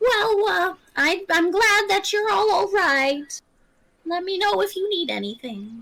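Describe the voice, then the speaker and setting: A put-on character voice, fairly slow, with lively intonation. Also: woman, extremely high pitch for a woman. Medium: actual play.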